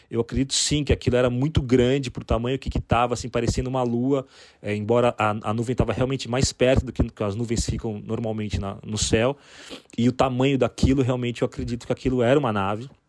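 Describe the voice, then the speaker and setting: Very fast and monotone with flat intonation, a man talks at a medium pitch in a dry, close sound with no echo. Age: 40s. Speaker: copywriter sharing UFO account. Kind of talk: recorded personal testimony.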